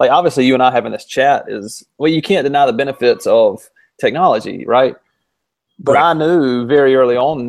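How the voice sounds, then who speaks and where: A man with an unremarkable speaking voice talks fairly quickly at a fairly high pitch, with ordinary pitch variation. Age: 30s. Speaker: podcast co-host, educator. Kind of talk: casual chat.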